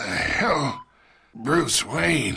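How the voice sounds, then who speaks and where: A raspy, put-on character voice from a man. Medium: cartoon. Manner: smug, taunting.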